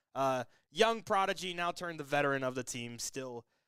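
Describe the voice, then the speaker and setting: On a very clean recording with a silent background, a man speaks in a bright, sharp tone with lively intonation. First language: not English. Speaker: esports commentator. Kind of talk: live commentary. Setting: live stream. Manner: fast.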